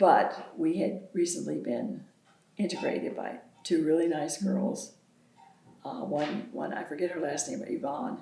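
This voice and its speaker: Woman with an American accent, fairly low pitch and lively intonation at a fairly slow pace, amid audible room echo and noticeable background noise. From US South. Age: 70s. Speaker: local pioneer. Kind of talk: oral history interview.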